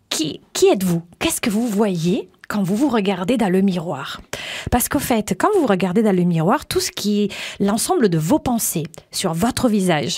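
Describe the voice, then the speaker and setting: A woman speaks at a fairly slow pace and medium pitch, her intonation lively and her loudness swinging widely. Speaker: image coach and radio host. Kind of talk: interview.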